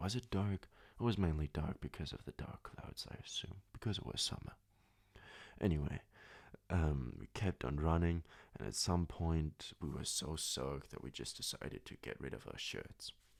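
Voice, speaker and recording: A soft-spoken man with a very deep, low pitch, a calm tone, lively intonation and a moderate pace. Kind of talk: sleep story; casual personal storytelling. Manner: calm, soft-spoken.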